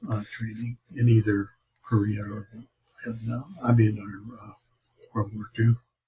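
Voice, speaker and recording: A man with an American accent speaks at a moderate pace and medium pitch. His voice is somewhat breathy, with fairly even intonation. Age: 90s. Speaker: war veteran. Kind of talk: interview. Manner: halting.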